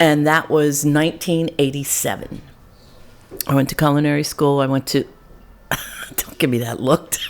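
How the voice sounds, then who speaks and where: A woman's very deep, low, monotone voice in an American accent, with long, frequent pauses and noticeable background noise. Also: moderate pace. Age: 60s. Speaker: chef. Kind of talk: casual chat.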